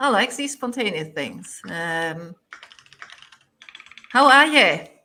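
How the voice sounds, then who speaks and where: A woman speaks with very wide pitch swings. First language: not English. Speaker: software team lead. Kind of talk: live-streamed pair programming chat. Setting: live stream. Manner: hesitant, many fillers.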